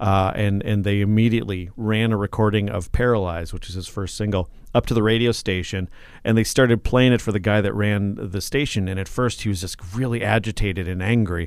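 A plain, everyday voice from a man with an American accent, fairly low in pitch, with fairly even intonation. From southern Minnesota (Mankato). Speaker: radio host. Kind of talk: casual chat. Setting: radio station studio.

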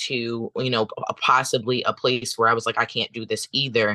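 Against a quiet background, a man with an American accent speaks at a medium pitch in a bright, sharp tone with monotone, flat intonation, the sound dry and close with no echo. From United States. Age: 30s. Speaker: chef and doula. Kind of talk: panel discussion. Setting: video call.

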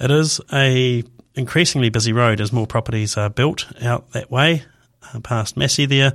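With a New Zealand accent, a man speaks at medium pitch and a moderate pace with fairly even intonation. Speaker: radio host. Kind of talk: radio talk show monologue. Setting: radio studio.

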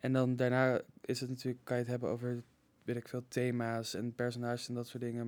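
A man talks at a fairly quick pace in a normal speaking voice. His pitch is medium. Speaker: art history student. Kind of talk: casual chat.

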